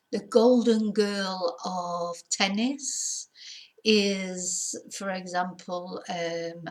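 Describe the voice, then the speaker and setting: A woman speaks with a British accent at a medium pitch. Her voice sounds somewhat breathy. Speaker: English teacher. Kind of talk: English lesson to camera.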